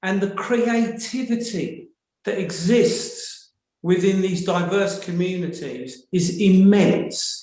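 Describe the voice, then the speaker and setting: A man speaks at a very slow pace with a British accent. His pitch is high, with ordinary variation. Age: 60s. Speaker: audience member asking a question in a webinar. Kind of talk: webinar audience comment.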